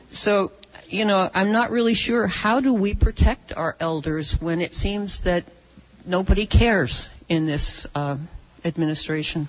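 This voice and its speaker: A woman talks at a fairly slow pace with a medium pitch and lively intonation. Noticeable background noise runs underneath. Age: 60s. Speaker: audience member at town hall. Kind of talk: public question at town hall. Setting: town hall meeting room.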